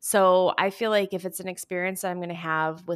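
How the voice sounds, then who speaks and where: A woman with an American accent, fairly low pitch, ordinary pitch variation and fairly quick pace, in a very clean recording with a silent background. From US Midwest, Michigan. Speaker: podcast host. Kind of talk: casual chat.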